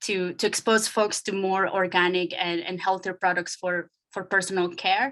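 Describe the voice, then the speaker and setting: Speaking in a monotone, flat intonation, a woman with a Spanish accent keeps a moderate pace at a medium pitch. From Nicaragua. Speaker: startup incubator director. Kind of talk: panel talk. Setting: video call. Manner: hesitant, many fillers.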